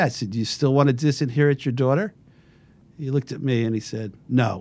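This man has an ordinary speaking voice, medium in pitch, moving at a fairly quick pace with ordinary pitch variation. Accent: American. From Massachusetts. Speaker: lawyer. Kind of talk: casual interview. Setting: studio.

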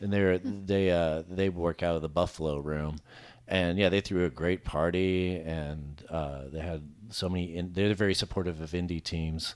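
Against a silent background, the recording comes through very clean. The man's pitch is very deep and low, and his intonation is fairly even. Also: moderate pace. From Arkansas. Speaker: playwright and improv comedian. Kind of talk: casual chat.

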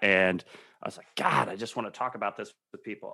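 A man with a bright, sharp tone and fairly even intonation is heard in a very clean recording with a silent background. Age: 30s. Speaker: music venue production manager. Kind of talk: casual interview.

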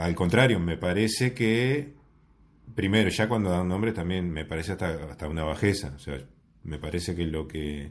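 This man speaks with a Uruguayan accent. His pitch is very deep and low, and his intonation is lively. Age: 40s. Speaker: podcast guest. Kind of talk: casual chat. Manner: slow, calm speech.

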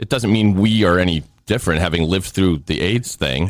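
This man's voice sits at a very deep, low pitch. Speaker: co-host, longtime friend. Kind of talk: casual chat.

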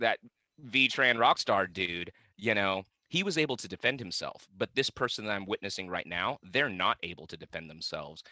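A man with an American accent, a bright, sharp tone and lively intonation, in a very clean recording with a silent background and a dry, close sound with no echo. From South Vietnam, raised in the US. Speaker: actor, musician, venue owner and wellness coach. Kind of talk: casual interview chat.

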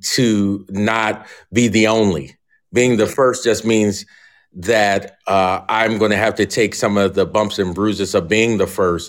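A man with an American accent talks in an unremarkable speaking voice at a fairly slow pace. His pitch is fairly low, his intonation fairly even, and the recording very clean with a silent background. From Philadelphia area, US. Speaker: professor. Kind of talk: interview.

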